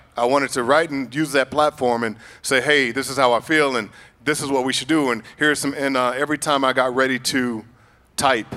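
A man with an American accent speaks fairly quickly in a bright, sharp, medium-pitched voice. His delivery is a flat monotone. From Chicago. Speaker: actor. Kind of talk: panel discussion.

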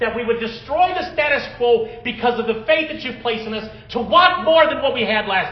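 Extremely high pitch from a man at a fairly quick pace, hardly any pauses, big swings in loudness, audible room echo and noticeable background noise. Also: ordinary pitch variation. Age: 40s. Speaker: pastor. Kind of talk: sermon. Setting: church.

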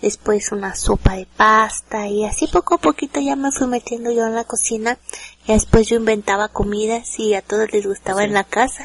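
A woman speaks at a moderate pace with a Mexican accent, her voice dry and close with no echo. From Mexico. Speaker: home cook. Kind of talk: casual chat.

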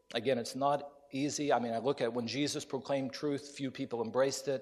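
Fairly quick speech with an American accent and fairly even intonation. It is an unremarkable speaking voice. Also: man. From US Appalachia (West Virginia). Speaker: preacher. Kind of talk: sermon. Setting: chapel with audience.

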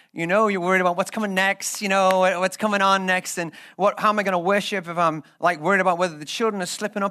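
Talking fast with few pauses, a man with a Liverpool accent uses a high pitch, a bright, sharp tone and fairly even intonation.

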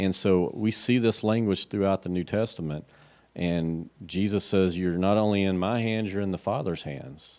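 A man talks at a moderate pace, his pitch varying in an ordinary way. The recording is very clean, with a silent background. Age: 50s. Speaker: pastor. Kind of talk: casual theological discussion.

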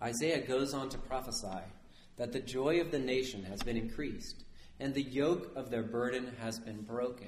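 Amid audible room echo, a man speaks at a moderate pace with a medium pitch and ordinary pitch variation. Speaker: priest. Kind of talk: sermon. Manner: conversational, asks audience questions.

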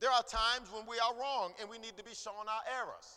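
This man's raised, projected voice sits at an extremely high pitch. His tone is animated, bright and sharp. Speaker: preacher. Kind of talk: sermon to a congregation, preached with rhythmic call-and-response and rising emphasis. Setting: church. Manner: animated, emphatic, impassioned.

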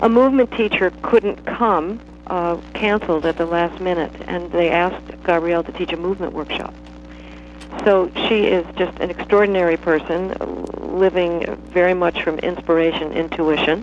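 A woman talks at a fairly low pitch and a moderate pace, her intonation fairly even, with noticeable background noise behind her. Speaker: dance teacher. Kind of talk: guided movement meditation. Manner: crisp, staccato.

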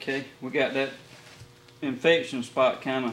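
Over noticeable background noise, a man in a Southern US accent speaks at a moderate pace, his medium pitch showing ordinary variation. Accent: Southern US (Georgia). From US South, Middle Georgia. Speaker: taxidermist. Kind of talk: tutorial. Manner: halting.

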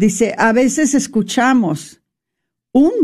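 A very slow, somewhat breathy delivery with lively intonation and a dark, mellow tone against a quiet background. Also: woman. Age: old. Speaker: radio host. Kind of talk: faith-based radio talk.

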